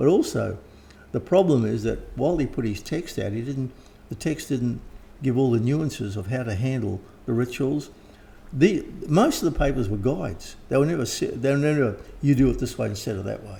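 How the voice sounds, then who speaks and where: A man talks at a fairly quick pace in a somewhat breathy, dark, mellow tone, with a medium pitch and lively intonation. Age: 70s. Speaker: occult author and teacher. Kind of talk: interview. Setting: at home.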